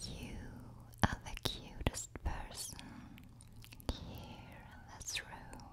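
Very slow whispering from a soft-spoken woman. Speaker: ASMR creator. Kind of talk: soft-spoken ASMR affirmations. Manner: soft intimate close-mic whisper. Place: studio. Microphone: studio mic.

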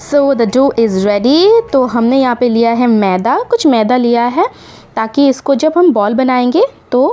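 Keeping her loudness very even, a woman speaks fairly slowly in a high pitch. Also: ordinary pitch variation. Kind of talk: tutorial. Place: home room. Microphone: phone near.

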